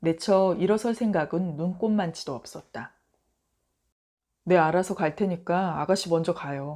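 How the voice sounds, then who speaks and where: On a very clean recording with a silent background, a woman speaks with a fairly low pitch. Her pace is fairly slow, and her pitch shifts in an ordinary way. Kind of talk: audiobook short story reading. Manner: soft, bedtime reading.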